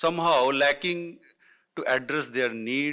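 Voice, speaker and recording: A man talks at a very slow pace in a bright, sharp tone at a fairly high pitch with ordinary pitch variation. The recording is very clean, with a silent background. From northern India. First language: Hindi. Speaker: education panelist. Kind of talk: panel talk. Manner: halting, many fillers.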